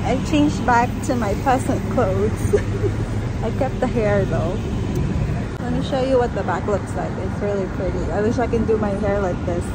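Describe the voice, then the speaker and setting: Over loud background noise, a woman is heard in a dry recording with no echo. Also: moderate pace. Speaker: travel vlogger. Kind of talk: casual vlog chat. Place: street. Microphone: phone near.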